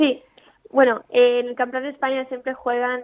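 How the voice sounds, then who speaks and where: This is a woman speaking. Her pitch is high. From Italy, raised partly in Andalusia. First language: Italian (speaking Spanish). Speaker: amateur golfer. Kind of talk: interview.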